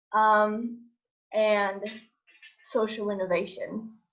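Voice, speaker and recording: This woman's voice sits fairly high and her intonation stays fairly even. Audible room echo surrounds it. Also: long, frequent pauses. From Brazil. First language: Portuguese. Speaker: graduate student. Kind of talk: self-introduction. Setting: video call.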